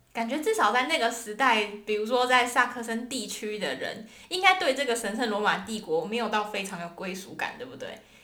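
A woman talks at a fairly quick pace with hardly any pauses, using lively intonation and a fairly high pitch. Audible room echo and noticeable background noise are present. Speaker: podcast co-host. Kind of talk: casual educational chat.

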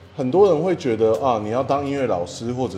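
A man delivers his words fairly quickly and with lively intonation while noticeable background noise carries on. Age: 30s. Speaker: egg crepe shop owner and drum teacher. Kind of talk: casual interview.

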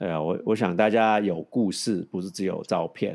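The speaker is a man with a fairly low pitch. His pitch varies in an ordinary way. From Hong Kong, raised in San Francisco. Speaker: podcast co-host. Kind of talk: casual chat. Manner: halting.

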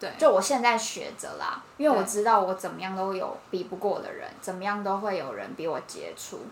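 A woman's medium-pitched voice at a fairly quick pace, with hardly any pauses, big swings in loudness, ordinary pitch variation and noticeable background noise. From Taiwan, Taipei. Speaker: podcast co-host. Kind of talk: casual chat.

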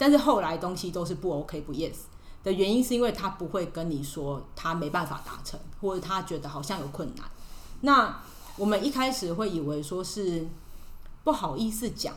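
Audible room echo around a woman's speech, her pitch swinging very widely. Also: medium pitch for a woman, moderate pace. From Taiwan. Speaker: expat office worker. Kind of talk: podcast interview.

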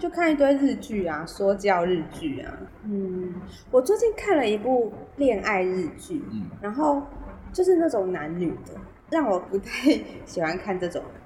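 Over noticeable background noise, a woman at medium pitch speaks at a fairly slow pace with big swings in loudness and very wide pitch swings. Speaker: podcast co-host. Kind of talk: casual chat. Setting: remote recording. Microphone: poor remote audio quality.

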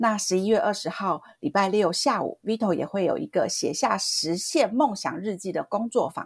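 The voice is somewhat breathy. It keeps a moderate pace. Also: woman. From southern Taiwan. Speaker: podcast co-host. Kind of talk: interview. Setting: online remote recording.

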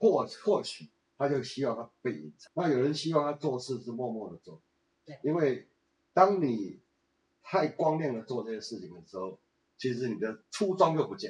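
Vocal fry runs through a man's speech at a moderate pace, with very wide pitch swings and big jumps in loudness. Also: medium pitch for a man. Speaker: retired businessman and tour guide. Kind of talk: casual interview.

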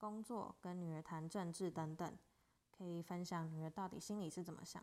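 With a Taiwanese accent, a woman speaks at a moderate pace with fairly low pitch and fairly even intonation. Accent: Taiwanese Mandarin. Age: 20s. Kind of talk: solo podcast monologue. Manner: casual.

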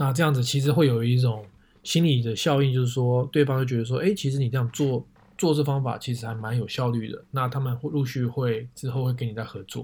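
This man's voice is somewhat breathy and medium in pitch, delivered at a fairly quick pace with fairly even intonation. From Taiwan, Taipei. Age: 30s. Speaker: photographer. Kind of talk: casual chat.

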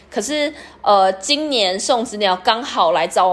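The speech moves at a fairly slow pace with lively intonation. Noticeable background noise runs underneath. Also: woman. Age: 30s. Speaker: podcast host. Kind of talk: personal experience monologue.

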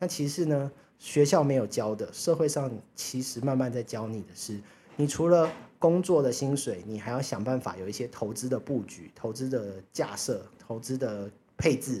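Using lively intonation, a man with a medium pitch and a dark, mellow tone speaks at a moderate pace. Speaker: finance podcast host. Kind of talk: solo casual podcast talk. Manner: chatty, many fillers.

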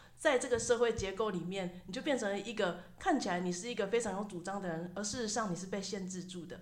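Very fast and animated, the speaker talks in a Taiwanese accent. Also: woman, medium pitch for a woman, ordinary pitch variation. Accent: Taiwanese Mandarin. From Taiwan, Tainan. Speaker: university sociology professor. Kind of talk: interview.

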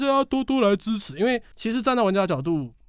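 Loud and fairly quick, a man speaks at a high pitch with very wide pitch swings. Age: 20s. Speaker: game expo organizer. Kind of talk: interview. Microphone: professional microphone.

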